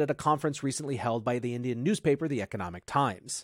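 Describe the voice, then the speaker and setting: The sound is dry and close, with no echo. A man speaks at a very fast pace. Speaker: podcast host. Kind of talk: scripted news commentary.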